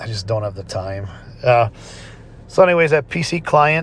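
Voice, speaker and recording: A somewhat breathy man talks at a moderate pace. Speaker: gaming YouTuber. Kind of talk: gameplay tutorial. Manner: halting, many fillers.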